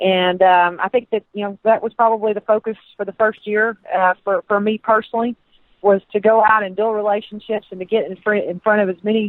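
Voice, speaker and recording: Speaking with a Southern US accent, a woman with a fairly high pitch keeps a monotone, flat intonation while her loudness swings widely. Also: fairly quick pace. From Texas. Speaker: sports administrator. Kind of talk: radio interview. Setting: phone call.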